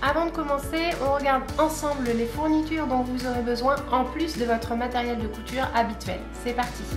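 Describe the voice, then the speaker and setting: Over clear background music, a woman speaks at a high pitch and moderate pace with fairly even intonation. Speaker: sewing tutorial host. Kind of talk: tutorial. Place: home room.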